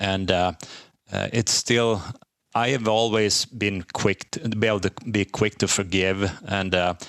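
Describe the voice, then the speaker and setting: With a Swedish accent, a man talks at a fairly slow pace in a fairly low pitch, his intonation fairly even and the sound dry and close with no echo. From Sweden. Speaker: divorced father sharing his story. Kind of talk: interview. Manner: halting, many fillers.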